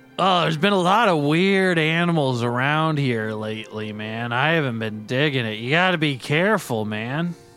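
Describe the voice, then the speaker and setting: Over clear music in the background, a man uses a put-on character voice with a fairly high pitch and lively intonation. He drawls at a moderate pace. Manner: laid-back, drawling, says "man" constantly.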